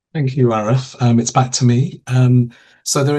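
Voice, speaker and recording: A man speaks at a medium pitch with a dark, mellow tone. His voice is somewhat breathy, with ordinary pitch variation. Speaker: program director for public health. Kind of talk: online information webinar. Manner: fast.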